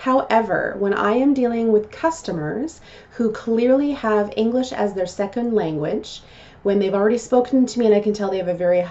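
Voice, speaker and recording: Over noticeable background noise, a woman talks at a fairly quick pace with lively intonation and a fairly high pitch. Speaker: customer service trainer and vlogger. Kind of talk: vlog talk to camera.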